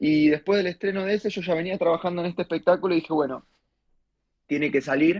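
A man talks very fast with an Argentine accent, his pitch high and its variation ordinary. The sound is dry and close, with no echo. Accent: Argentine Rioplatense. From Argentina. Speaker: stand-up comedian. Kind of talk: radio interview with comic storytelling. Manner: animated.

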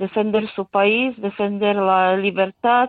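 A woman speaks at a very slow pace with a medium pitch and fairly even intonation. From Ukraine. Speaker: Ukrainian emigrant. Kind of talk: radio interview.

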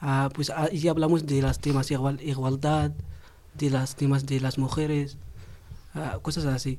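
At a fairly slow pace with long, frequent pauses, a man speaks in a flat monotone at a fairly high pitch, his loudness very even. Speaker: young migrant in housing program. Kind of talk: testimony. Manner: halting.

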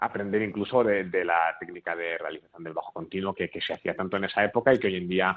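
A man with a very deep, low pitch, talking at a very fast pace with fairly even intonation. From Spain, Bilbao. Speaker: cellist and early music ensemble director. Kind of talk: radio interview. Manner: halting, with frequent repetitions.

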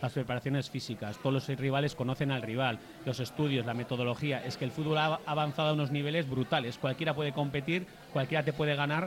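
At a very fast pace, a man talks with a fairly high pitch and fairly even intonation. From Durango, Basque Country. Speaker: football talk show panelist. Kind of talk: casual chat. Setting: live show with audience in a bar.

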